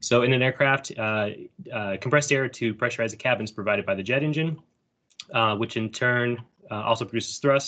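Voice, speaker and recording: A man with a medium-pitched voice speaks at a fairly quick pace, using ordinary pitch variation. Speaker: engineering student presenting final project. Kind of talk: project presentation. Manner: fast.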